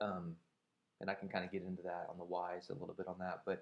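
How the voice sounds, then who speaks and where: The speaker is a man. He talks fairly quickly. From US Midwest, rural Indiana. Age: 30s. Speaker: recovering alcoholic vlogger. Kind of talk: personal testimony monologue. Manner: hesitant, many fillers.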